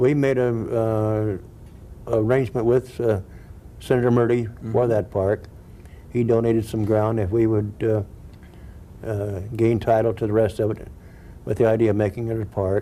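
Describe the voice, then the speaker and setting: Monotone and flat, a man's voice stays at a medium pitch. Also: moderate pace. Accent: American. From Huntington Beach, California. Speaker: former mayor. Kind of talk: interview answer. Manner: warm, humorous, humble.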